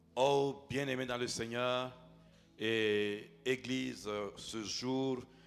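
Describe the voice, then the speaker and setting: A man's medium-pitched, monotone, flat delivery at a very slow pace, with music in the background and audible room echo. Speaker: pastor. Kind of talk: sermon. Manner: loud.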